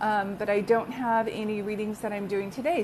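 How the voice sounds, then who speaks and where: At a fairly high pitch, a woman speaks in a plain, everyday voice. Her intonation is fairly even and her pace moderate. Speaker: psychic medium. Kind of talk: live stream chat with viewers. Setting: live video stream.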